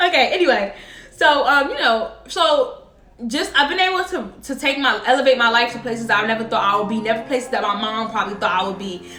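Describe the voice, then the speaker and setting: A woman speaks fairly quickly in a high, animated voice with lively intonation, amid noticeable background noise and audible room echo. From New Jersey, Paterson. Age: 20s. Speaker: vlogger, small business owner. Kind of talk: personal vlog storytelling. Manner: fast.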